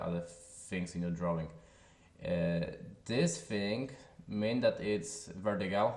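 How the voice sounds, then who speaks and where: With audible room echo, a man speaks in a Polish accent at a fairly low pitch. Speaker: software tutorial creator. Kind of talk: tutorial. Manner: halting, with filler sounds.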